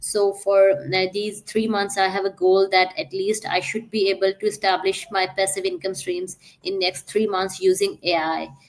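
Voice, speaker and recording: A woman with a Pakistani accent speaks at a moderate pace with hardly any pauses, her medium pitch staying monotone and flat. Noticeable background noise runs underneath. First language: Urdu. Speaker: digital entrepreneur. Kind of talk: podcast interview. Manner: hesitant with frequent fillers.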